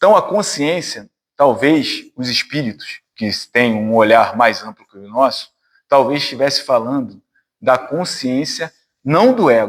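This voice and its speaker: The man's pitch is fairly high. He talks at a fairly slow pace with lively intonation. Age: 50s. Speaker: spiritist lecturer, physician. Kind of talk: spiritist talk to a study group. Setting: spiritist centre with audience. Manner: conversational, informal.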